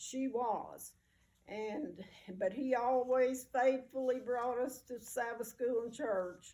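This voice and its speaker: In a Southern US accent, a woman with a high voice and a dark, mellow tone speaks at a very slow pace with fairly even intonation. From US South, rural mountain area. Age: 80s+. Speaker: oral history interviewee. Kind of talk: personal reminiscence interview. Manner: halting, many fillers.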